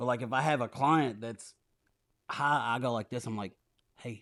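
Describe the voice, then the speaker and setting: A man speaks at a moderate pace with ordinary pitch variation. Music sounds in the background. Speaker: podcast host. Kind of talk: casual chat. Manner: loud.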